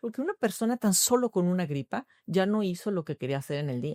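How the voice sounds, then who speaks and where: The voice has a dark, mellow tone, with very wide pitch swings and a fairly quick pace. The recording is very clean, with a silent background and a dry, close sound with no echo. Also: woman. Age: 50s. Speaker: nutritionist. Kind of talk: podcast interview.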